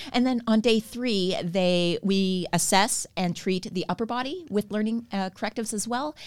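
An unremarkable speaking voice from a woman, fairly high in pitch with ordinary pitch variation, at a moderate pace with hardly any pauses, on a very clean recording with a silent background. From Canada. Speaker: stretch therapist and trainer. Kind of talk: casual interview.

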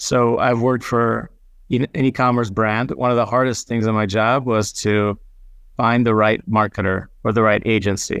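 Against a quiet background, a man talks at a moderate pace in a medium pitch. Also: fairly even intonation, very even loudness. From Israel and US. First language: not English. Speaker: content marketing director. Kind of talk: interview.

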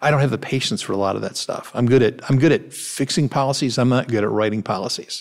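A man speaks very fast with an American accent. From Cleveland, Ohio, US. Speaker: nonprofit foundation president, former investment banker. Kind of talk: interview. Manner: halting, repeats words.

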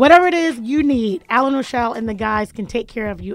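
A woman speaks at a very fast pace with a high pitch and lively intonation. Music plays in the background. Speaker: radio show host. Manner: jokey, energetic.

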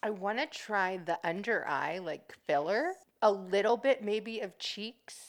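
In an ordinary speaking voice, a woman with an American accent talks at a fairly slow pace, her medium pitch carried by lively intonation. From US East Coast, near Washington DC. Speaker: hairstylist and aspiring actor. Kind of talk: casual chat.

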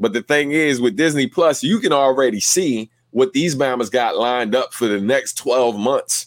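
A man with an unremarkable speaking voice talks at medium pitch and a moderate pace with lively intonation, very even loudness and hardly any pauses, in a dry, close sound with no echo. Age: 30s. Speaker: podcast host. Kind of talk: casual chat. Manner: laid-back.

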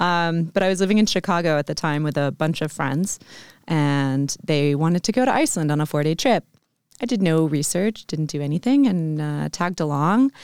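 A woman with an American accent speaks in a very deep, low voice with lively intonation, recorded very cleanly against a silent background with a dry, close sound and no echo. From US, Vermont. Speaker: aerial silks instructor. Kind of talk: casual interview.

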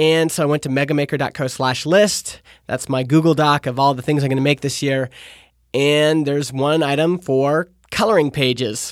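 This man's voice is fairly high and his tone is animated. He talks at a moderate pace. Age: 30s. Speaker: podcast host. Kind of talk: casual solo monologue. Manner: animated, laughing.

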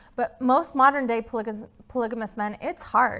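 A woman talks at a very fast pace with ordinary pitch variation. The recording is very clean, with a silent background. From Utah. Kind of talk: interview. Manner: fast talker; animated.

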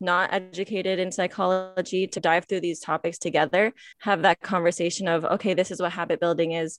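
A woman with an American accent speaks in a flat monotone with hardly any pauses over a quiet background. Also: medium pitch for a woman, fairly quick pace, dry, close sound with no echo. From Michigan, US. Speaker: nonprofit staff member and podcast host. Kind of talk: interview.

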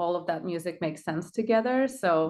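A woman speaks fairly quickly in a Russian accent, her fairly low pitch showing ordinary variation over a quiet background. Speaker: band member. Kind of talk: casual interview chat.

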